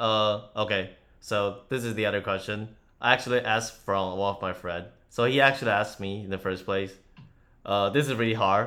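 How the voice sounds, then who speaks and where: A man with a Chinese accent speaks at a fairly quick pace in a fairly low pitch, his tone bright and sharp. His intonation stays fairly even, and the recording is very clean with a silent background. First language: Mandarin Chinese. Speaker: podcast host and former university student. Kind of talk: casual chat.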